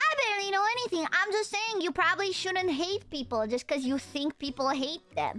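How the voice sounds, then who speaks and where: A woman speaks in a raised, projected voice at an extremely high pitch, with very wide pitch swings and a strong Romanian accent. Her pace is moderate, with music in the background. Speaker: streamer. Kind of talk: casual, slangy.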